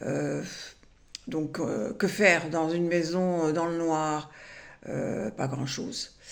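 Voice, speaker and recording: A woman's very deep, low voice with audible room echo. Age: 70s. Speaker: retired vlogger. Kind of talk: personal vlog monologue. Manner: halting, many hesitations.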